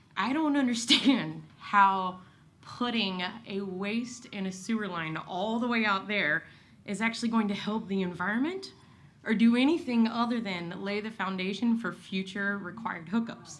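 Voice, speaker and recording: There's audible room echo as a woman speaks at medium pitch. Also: ordinary pitch variation, moderate pace. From Kentucky, rural. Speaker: resident speaking at public comment. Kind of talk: public comment at city meeting. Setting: city commission meeting.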